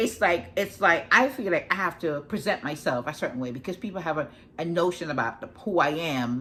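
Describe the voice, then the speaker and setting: This woman talks at a fairly quick pace with a slight Jamaican accent and a bright, sharp tone. Her pitch is fairly low and her intonation lively. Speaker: life coach. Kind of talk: casual talk to camera. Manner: fast; halting, many restarts.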